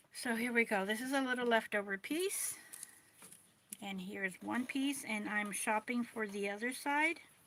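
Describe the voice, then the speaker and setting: An unremarkable speaking voice from a woman at a moderate pace, pitched fairly high, with ordinary pitch variation. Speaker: doll clothes maker. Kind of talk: tutorial. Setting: livestream.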